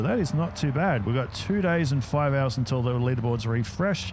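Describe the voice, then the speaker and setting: With audible room echo and noticeable background noise, a man of medium pitch talks at a fairly quick pace with lively intonation. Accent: Australian. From Australia. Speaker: gaming YouTuber. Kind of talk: gameplay commentary. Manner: casual, conversational.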